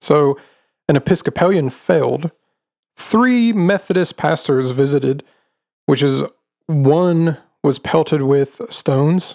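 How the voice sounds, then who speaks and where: Here a man has a plain, everyday voice. His pitch is fairly high with ordinary variation. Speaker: podcast host. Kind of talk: ghost story telling, narrating a true haunting. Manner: casual, joking, teasing.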